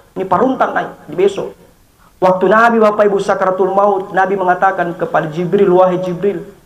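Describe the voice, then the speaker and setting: A man at a moderate pace. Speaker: Islamic preacher. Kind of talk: funeral sermon.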